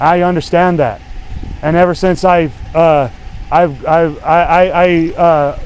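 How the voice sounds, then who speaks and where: A man speaks loudly at a fairly slow pace, his pitch high for a man and his intonation fairly even. He takes long, frequent pauses against noticeable background noise. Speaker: citizen activist filming confrontation with police. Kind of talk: heated argument with police officer. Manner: stammering, repeating words.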